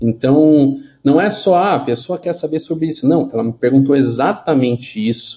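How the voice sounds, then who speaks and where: Somewhat breathy, a man's voice sits fairly high in pitch. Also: ordinary pitch variation, moderate pace. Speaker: digital marketing consultant for healthcare. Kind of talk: casual interview. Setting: remote call over internet. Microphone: unstable internet connection.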